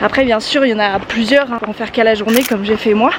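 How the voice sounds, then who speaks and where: There is noticeable background noise behind a woman speaking. Her voice is high-pitched with ordinary pitch variation. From Brittany, France. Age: 20s. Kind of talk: casual vlog narration while hiking. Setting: outdoors.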